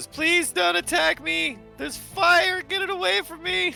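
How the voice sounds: Over clear music in the background, a man does a put-on character voice at an extremely high pitch and a moderate pace.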